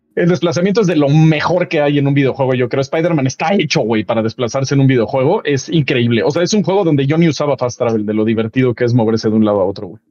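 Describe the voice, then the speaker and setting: Music in the background behind a man with a Mexican accent, fairly high pitch and lively intonation, at a very fast pace with hardly any pauses. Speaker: video game show host. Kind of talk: casual chat. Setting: remote video call.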